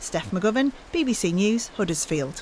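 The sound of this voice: Here a woman speaks with lively intonation. Her tone is slightly mellow. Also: medium pitch for a woman, moderate pace.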